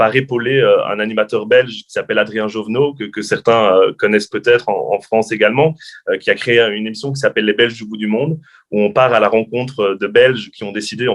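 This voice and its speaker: A man at medium pitch talking very fast with fairly even intonation. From French-speaking Belgium. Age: young. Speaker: journalist and TV presenter. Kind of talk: interview. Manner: hesitant, many fillers.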